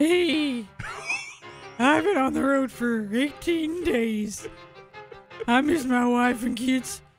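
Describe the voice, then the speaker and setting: Clear music plays in the background as the speaker uses a put-on character voice with a fairly high pitch. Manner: gruff, trucker voice.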